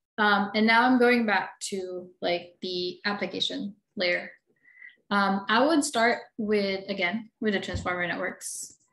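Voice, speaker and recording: In a quiet background with audible room echo, a medium-pitched woman speaks at a fairly slow pace with ordinary pitch variation. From Philippines. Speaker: computer engineering researcher and lecturer; presenter. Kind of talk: technical lecture. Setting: webinar video call. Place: home room. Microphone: webcam.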